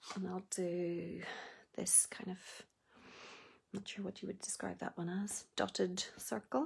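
Against a quiet background, a woman talks at a fairly slow pace with vocal fry. Her intonation stays fairly even. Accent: Northern Irish. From Northern Ireland. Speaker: craft demonstrator. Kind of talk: live tutorial. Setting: Facebook Live video, online. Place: home room. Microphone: phone near.

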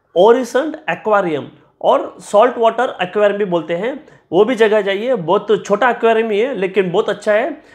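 At a fairly slow pace, a man with a high pitch speaks with ordinary pitch variation over a quiet background. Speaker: travel vlogger. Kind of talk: travel recommendations to camera. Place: home room. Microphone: lapel.

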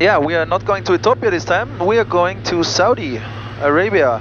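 A man speaks at a fairly slow pace. Noticeable background noise is heard, and the sound is dry with no echo. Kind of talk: casual vlog chat. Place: plane. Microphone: headset.

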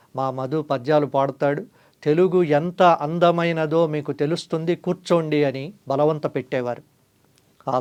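A man with a plain, everyday voice speaks at a fairly high pitch, his intonation fairly even against a quiet background. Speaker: journalist and channel host. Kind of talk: scripted narration.

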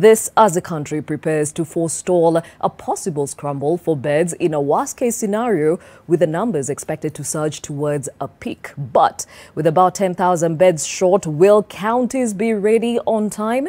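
Lively in intonation with a dark, mellow tone, a woman speaks at a fairly low pitch and a moderate pace with hardly any pauses. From Kenya. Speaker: TV presenter. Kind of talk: TV talk show and news presenting. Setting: TV studio. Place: studio.

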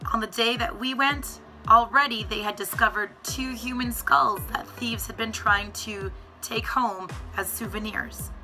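Music underneath a woman's moderately paced delivery. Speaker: travel vlogger. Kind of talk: travel vlog talk to camera.

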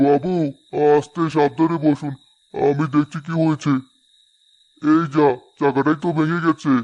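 In a cartoonish character voice, a man speaks at a moderate pace with fairly high pitch, very even loudness and monotone, flat intonation, against a quiet background. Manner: polite, deferential.

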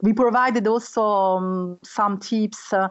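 A woman's medium-pitched voice, slow and fairly even in intonation.

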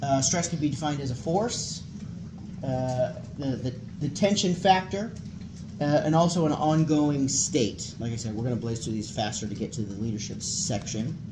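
A man with a fairly high pitch at a moderate pace, against noticeable background noise. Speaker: military chaplain. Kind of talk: lecture. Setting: classroom with audience. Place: meeting room.

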